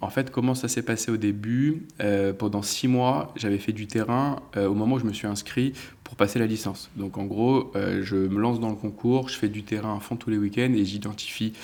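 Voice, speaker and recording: This is an ordinary speaking voice with fairly even intonation. It moves at a moderate pace with hardly any pauses. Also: man, fairly low pitch for a man. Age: 30s. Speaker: sports agent. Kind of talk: interview.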